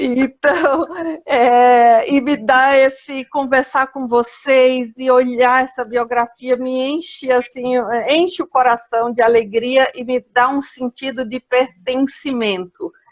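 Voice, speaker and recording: A high-pitched woman at a very slow pace, with fairly even intonation. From Paraíba, Brazil. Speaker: biographical counselor, live host. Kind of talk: live video chat.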